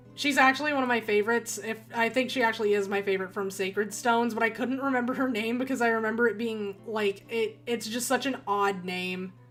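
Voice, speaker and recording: A woman talks very fast with hardly any pauses. Her voice is fairly high, and there is noticeable background noise. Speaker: gaming streamer. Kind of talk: livestream commentary. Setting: home room with poor acoustics. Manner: loud; animated.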